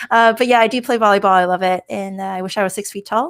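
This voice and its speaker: The delivery is very fast, with an animated tone. Intonation stays lively throughout. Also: woman. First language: Chinese. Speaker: information security director. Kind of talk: casual chat.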